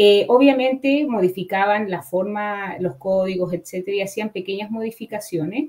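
Noticeable background noise sits under a woman's medium-pitched voice. She speaks with hardly any pauses and ordinary pitch variation. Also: moderate pace. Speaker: cybersecurity professor and researcher. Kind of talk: expert interview. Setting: online live show.

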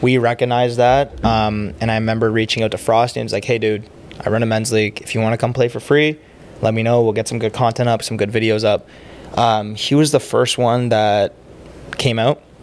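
A man with an Ontario accent talks at a fairly quick pace. Noticeable background noise is present. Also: medium pitch for a man, fairly even intonation. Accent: Canadian (Ontario). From Ontario, Canada (Oakville, near Toronto). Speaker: sports league founder. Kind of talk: casual chat.

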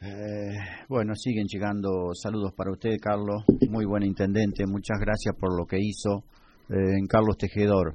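A man speaks fairly slowly in a fairly low voice. His intonation is monotone and flat. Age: 60s. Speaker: radio host. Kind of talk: radio broadcast.

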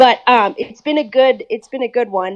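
A woman with an American accent, an ordinary speaking voice, a moderate pace and ordinary pitch variation, in a dry, close sound with no echo. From Minnesota, US (childhood partly in India and England). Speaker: medical student. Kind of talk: casual interview. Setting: remote call from India.

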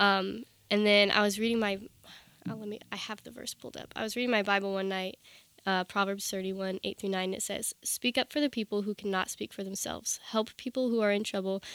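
Fairly quick and at medium pitch, a woman with an American accent and an unremarkable speaking voice talks with big swings in loudness, in a dry, close recording with no echo. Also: fairly even intonation. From Northern Virginia. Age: 20s. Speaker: college student and ministry team leader. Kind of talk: casual interview chat.

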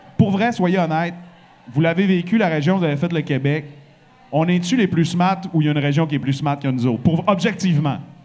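A high-pitched man speaks in an animated tone at a fairly quick pace. Music plays in the background, and room echo is audible. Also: ordinary pitch variation. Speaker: radio host and podcast host. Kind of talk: live podcast chat before an audience. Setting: bar stage with live audience.

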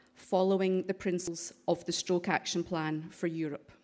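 A woman speaks at a medium pitch with a strong Scottish accent and monotone, flat intonation. The recording is very clean, with a silent background. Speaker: stroke charity director. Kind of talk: conference presentation. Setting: parliament auditorium.

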